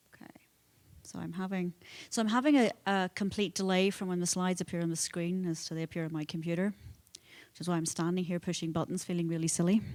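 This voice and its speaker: In a very clean recording with a silent background, a woman with a Northern Irish accent speaks very fast, her pitch fairly low and her intonation fairly even. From Northern Ireland, Belfast. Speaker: conference speaker, nonprofit foundation president. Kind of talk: conference talk. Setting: conference hall with audience.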